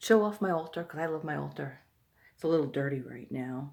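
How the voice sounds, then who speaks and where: A woman's dark, mellow tone at a moderate pace, recorded very cleanly with a silent background. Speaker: occult video blogger. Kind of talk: casual video monologue. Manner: talking low; halting, many fillers.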